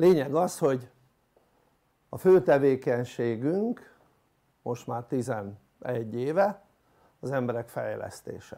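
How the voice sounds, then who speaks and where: A man with a dark, mellow tone and lively intonation speaks at a very slow pace, with long, frequent pauses. His loudness swings widely over a quiet background. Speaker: coach giving a talk. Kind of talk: lecture. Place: hall. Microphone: lapel.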